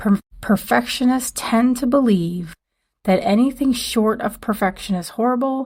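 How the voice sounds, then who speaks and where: A woman whispers quietly at a moderate pace, sounding somewhat breathy. The recording is very clean and the background silent. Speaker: podcast host. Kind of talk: solo podcast monologue. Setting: dorm room. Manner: quiet, near whisper.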